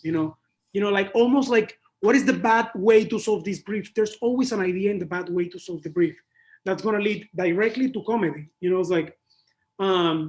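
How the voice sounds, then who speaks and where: In a Spanish accent, a man with a high voice speaks in an animated tone, his pitch varying in an ordinary way. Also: fairly quick pace. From Panama. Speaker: advertising creative. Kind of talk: interview.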